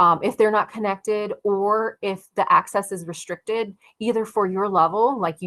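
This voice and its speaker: Against a quiet background, a woman talks at a moderate pace. Hers is a normal speaking voice at medium pitch. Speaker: tech community speaker; speaker. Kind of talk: webinar presentation. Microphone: video call.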